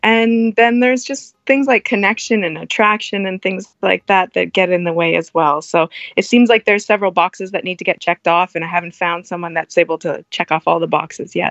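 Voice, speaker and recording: A woman with a plain, everyday voice speaks at a medium pitch and moderate pace with ordinary pitch variation, in a dry, close sound with no echo. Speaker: guest seeking cuckold relationship. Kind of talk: interview chat. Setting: phone call.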